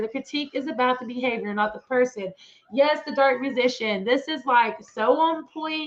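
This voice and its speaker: A woman's high-pitched voice with an American accent, over noticeable background noise. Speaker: commentary YouTuber. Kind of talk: live stream chat. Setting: live stream. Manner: casual.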